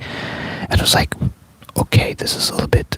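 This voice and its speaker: Whispering, a man is heard in a dry, close sound with no echo, with noticeable background noise behind him. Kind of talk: casual talk to camera. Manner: whispered.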